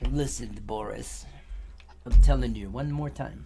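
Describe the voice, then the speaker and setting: A put-on character voice from a man, very deep and low, in a Russian accent at a moderate pace, over clear background noise. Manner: exaggerated, bad impression.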